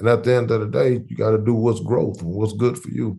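A man talks at a moderate pace. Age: 40s. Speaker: podcast host. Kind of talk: casual interview. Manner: animated.

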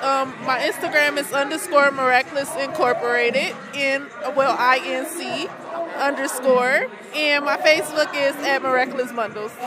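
A woman projects her voice at a high pitch, with ordinary pitch variation and a moderate pace. Room echo is audible, and crowd noise runs in the background. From Detroit. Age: 20s. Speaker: entrepreneur. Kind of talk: interview. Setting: pop-up shop.

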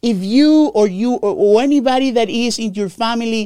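The speaker has a Spanish accent. The tone is animated. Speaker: Medicare insurance agent podcast host. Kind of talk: informational podcast monologue. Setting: live recording, on camera.

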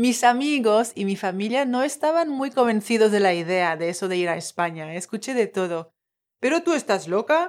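A woman's fairly high voice at a moderate pace, with very wide pitch swings, in a very clean recording with a silent background. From Tahiti. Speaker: life coach and podcast host. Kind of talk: personal storytelling monologue.

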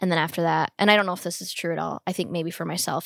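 A woman's fairly low-pitched voice with vocal fry, at a very fast pace, dry and close with no echo. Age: 30s. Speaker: actor and producer. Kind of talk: casual conversation.

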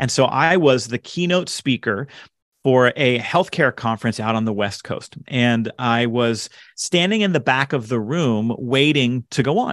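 In an ordinary speaking voice, a man talks at a fairly slow pace and medium pitch, with ordinary pitch variation and a dry, close sound with no echo. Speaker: author and leadership speaker. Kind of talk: casual interview chat.

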